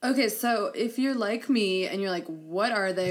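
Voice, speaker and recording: Speaking in an ordinary speaking voice, a woman talks at a fairly slow pace in a medium pitch with lively intonation. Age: 20s. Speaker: podcast co-host. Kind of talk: casual chat.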